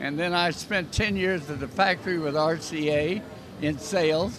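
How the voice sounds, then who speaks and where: A man with a fairly high-pitched voice is heard over noticeable background noise. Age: 80s+. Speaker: trade show founder and industry executive. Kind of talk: interview.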